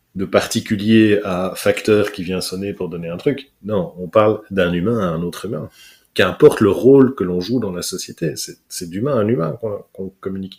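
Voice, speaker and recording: On a very clean recording with a silent background, a man speaks at a moderate pace in a fairly low voice, with ordinary pitch variation and big swings in loudness. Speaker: corporate trainer, speaker and hypnotherapist. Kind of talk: interview answer. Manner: upbeat, fun.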